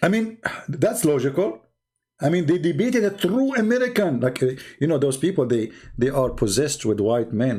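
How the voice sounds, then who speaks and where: A man's dark, mellow, somewhat breathy voice with an Arabic accent, moderately paced, with very wide pitch swings. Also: fairly high pitch for a man. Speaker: religious debate livestreamer. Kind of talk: livestream commentary. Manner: animated.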